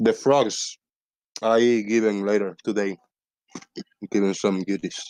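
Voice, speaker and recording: A man with a non-native accent, fairly low in pitch, monotone and flat at a fairly slow pace, in a dry, close sound with no echo. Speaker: live-stream show host. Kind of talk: casual chat.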